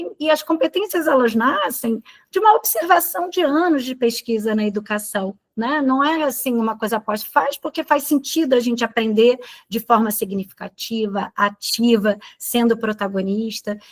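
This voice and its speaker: Her voice a normal speaking voice pitched fairly high, a woman talks at a moderate pace with lively intonation in a dry, close sound with no echo. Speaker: teacher trainer. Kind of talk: training session.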